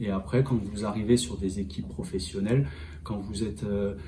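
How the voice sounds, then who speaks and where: A man's lively intonation over audible room echo. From France, Angoulême. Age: 30s. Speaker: rugby fitness coach. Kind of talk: interview. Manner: halting, many hesitations.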